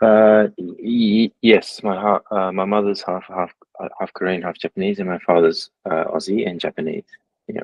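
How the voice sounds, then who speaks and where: Speaking with an Australian accent, a man with a fairly low pitch keeps a moderate pace and fairly even intonation. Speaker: tattoo artist. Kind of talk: casual chat. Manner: halting.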